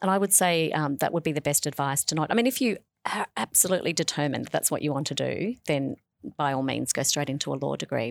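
A woman with an Australian accent and a very deep, low pitch speaks very fast with ordinary pitch variation, in a very clean recording with a silent background and a dry, close sound with no echo. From Australia, Sydney / New South Wales. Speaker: law professor. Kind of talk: radio interview. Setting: school radio studio.

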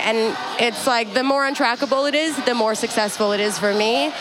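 A fairly quick pace in a Canadian accent, with audible room echo and noticeable background noise. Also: woman. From Canada (Toronto, Edmonton), Afghan family. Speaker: DJ and activist. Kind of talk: casual chat. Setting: venue with music in background.

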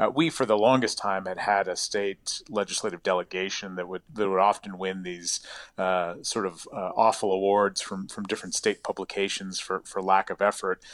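With an American accent, a man speaks in a plain, everyday voice, fairly low in pitch, with fairly even intonation at a moderate pace. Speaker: professor. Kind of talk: radio interview.

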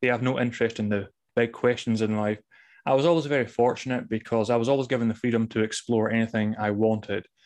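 With a Scottish accent, a man talks at a very fast pace with a medium pitch and fairly even intonation. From Scotland. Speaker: mystic and author. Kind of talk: interview, conversational.

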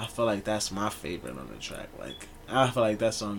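A man talks at a fairly quick pace in a relaxed tone, his pitch fairly low, with noticeable background noise behind him. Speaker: musician and clothing brand owner. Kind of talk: casual interview chat. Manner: relaxed, slangy.

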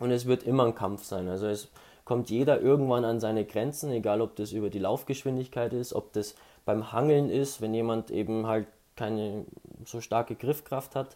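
At a moderate pace, a man with a medium pitch speaks in a dark, mellow tone and fairly even intonation. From Bavaria, Ingolstadt area. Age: 20s. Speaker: student and amateur runner. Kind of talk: casual interview.

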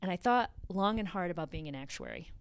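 A woman's fairly low voice at a fairly quick pace, on a very clean recording with a silent background. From Connecticut (Litchfield County). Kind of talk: interview.

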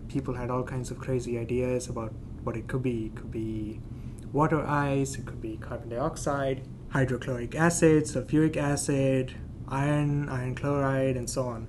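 Moderate pace and fairly even intonation, with noticeable background noise and audible room echo. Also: man, medium pitch for a man. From India. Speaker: planetary scientist. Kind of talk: casual science explanation.

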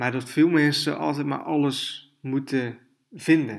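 The recording is very clean, with a silent background. A man speaks with ordinary pitch variation. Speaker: podcast host, online business coach. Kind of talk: solo podcast monologue. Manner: hesitant, many filler sounds.

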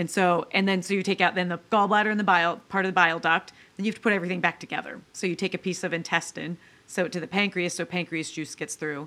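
A woman speaks very fast in a fairly low voice with a bright, sharp tone. Her intonation is fairly even. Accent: American. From US Midwest, northwest Ohio. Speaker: surgeon. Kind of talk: interview.

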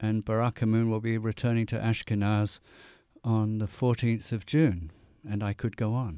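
On a very clean recording with a silent background, a man with an English accent speaks at a moderate pace, his dark, mellow voice fairly low-pitched with fairly even intonation. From England. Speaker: didgeridoo player and radio DJ. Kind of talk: radio interview. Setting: radio studio.

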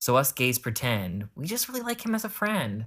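A man with an unremarkable speaking voice talks fairly fast with ordinary pitch variation, on a very clean recording with a silent background. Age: 20s. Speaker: podcast host. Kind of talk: scripted narration.

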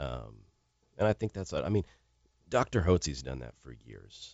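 A man talks with vocal fry. His pace is fairly quick. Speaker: radio producer. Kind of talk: casual chat. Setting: studio.

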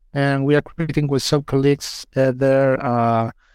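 In a very clean recording with a silent background, a man with a Chilean accent talks at a fairly high pitch with fairly even intonation, the sound dry and close with no echo. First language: Spanish. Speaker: UI designer. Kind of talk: panel discussion. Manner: halting.

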